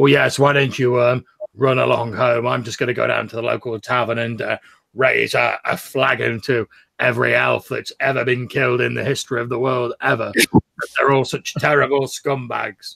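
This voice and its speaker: Using a raspy, put-on character voice, a man speaks at medium pitch and a moderate pace. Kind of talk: sarcastic, theatrical. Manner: overly loud.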